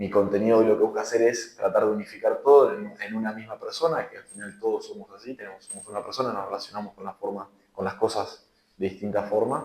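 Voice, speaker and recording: This is a man speaking. His pace is very fast. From Argentina, Buenos Aires province (San Antonio de Areco). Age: 20s. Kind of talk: interview. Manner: hesitant, many fillers.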